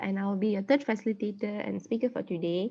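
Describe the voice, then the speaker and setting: This woman has an unremarkable speaking voice, pitched fairly high. She talks at a fairly quick pace with fairly even intonation. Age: 19. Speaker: workshop facilitator, law student. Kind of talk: online workshop presentation.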